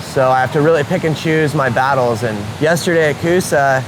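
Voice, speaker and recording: With noticeable noise in the background, the talking proceeds at a moderate speed and in a fairly even intonation. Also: man. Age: 30s. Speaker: cliff jumper. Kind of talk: documentary interview.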